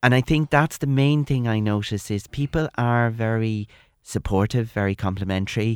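A man's medium-pitched voice in a Dublin accent, with ordinary pitch variation and a moderate pace, on a dry, close recording with no echo that is very clean, with a silent background. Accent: Irish, Dublin. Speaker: arts organisation director. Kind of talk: panel discussion.

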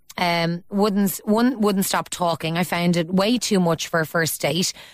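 A woman with an Irish accent at a moderate pace. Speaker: radio host. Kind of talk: radio phone-in talk show. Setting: radio studio.

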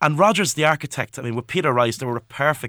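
Bright and sharp in tone, a man talks very fast at a fairly high pitch. The recording is very clean and dry, close with no echo and a silent background. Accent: Dublin. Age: 20s. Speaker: historian and author. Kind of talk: radio interview. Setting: radio studio.

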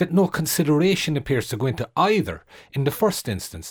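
Speaking at a moderate pace with very wide pitch swings, a man with an Irish accent sounds somewhat breathy on a very clean recording with a silent background. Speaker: journalist and author. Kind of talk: radio panel discussion. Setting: radio studio.

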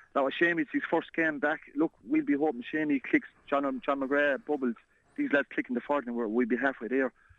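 With an Irish accent, a man talks at a fairly quick pace in a fairly high pitch, his loudness very even and his pitch variation ordinary. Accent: Tipperary Irish. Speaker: former hurling captain, pundit. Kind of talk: casual sports chat. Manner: halting, repeats words.

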